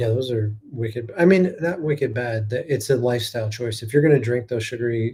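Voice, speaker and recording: Talking fairly quickly with an American accent, a man has a dark, mellow, somewhat breathy tone at medium pitch with ordinary variation. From northeast Ohio. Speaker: podcast host. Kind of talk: casual chat.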